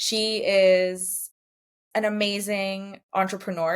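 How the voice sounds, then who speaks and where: A woman speaks with a Canadian accent in an ordinary speaking voice. Her pitch is medium and her intonation fairly even. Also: very clean recording, silent background. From Poland, moved to Canada as a small child. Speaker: brand designer and painter, entrepreneur. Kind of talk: podcast interview. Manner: casual, many fillers.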